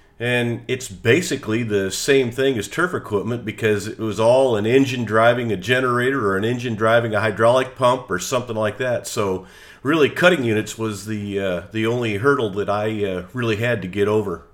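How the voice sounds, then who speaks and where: A man talks at a fairly quick pace with hardly any pauses. His pitch is medium and varies in an ordinary way. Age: 60s. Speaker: golf course equipment technician. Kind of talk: interview. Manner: halting.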